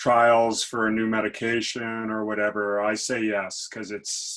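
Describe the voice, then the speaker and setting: A man talks at a moderate pace and medium pitch in a monotone, flat intonation. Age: 60s. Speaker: patient speaker. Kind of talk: reading a prepared personal story.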